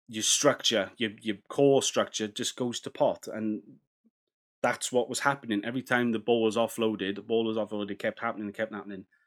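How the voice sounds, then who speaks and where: With a Welsh accent, a man talks at a moderate pace and medium pitch on a very clean recording with a silent background. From Wales. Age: 30s. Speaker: rugby podcast host. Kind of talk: solo podcast commentary. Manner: casual, animated.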